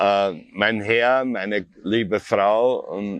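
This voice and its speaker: A man with a fairly low pitch speaks in an Austrian accent. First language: German. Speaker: artist. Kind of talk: interview.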